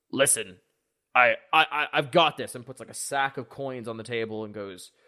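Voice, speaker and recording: Against a silent background in a very clean recording, a man performs a rumbling put-on character voice at medium pitch and a moderate pace. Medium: actual play. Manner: grumbly, stammering.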